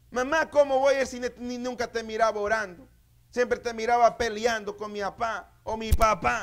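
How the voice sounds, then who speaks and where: An extremely high male voice, animated in tone, with big swings in loudness. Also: moderate pace. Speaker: pastor. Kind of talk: sermon. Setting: church. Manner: animated, exhortative preaching, with repeated phrases and calls for amens.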